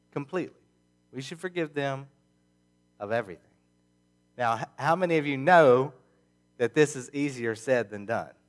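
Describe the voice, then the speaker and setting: A man with a fairly high pitch at a moderate pace, with ordinary pitch variation, big swings in loudness, long, frequent pauses and music in the background. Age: 30s. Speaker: pastor. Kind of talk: sermon. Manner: halting.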